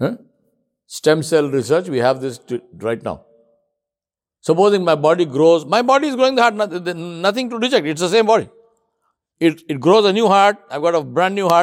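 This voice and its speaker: At a moderate pace, a man speaks in a high pitch with very wide pitch swings. He takes long, frequent pauses. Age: 60s. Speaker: Islamic preacher. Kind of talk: sermon. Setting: mosque with congregation. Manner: conversational, rhetorical questions to audience.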